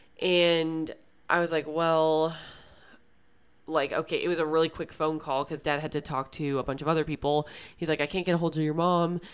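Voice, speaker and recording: In a very clean recording with a silent background, the voice stays monotone and flat in intonation. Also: woman, very deep, low pitch for a woman, moderate pace. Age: 20s. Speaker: podcast host. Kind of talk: personal monologue. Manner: hesitant, many fillers.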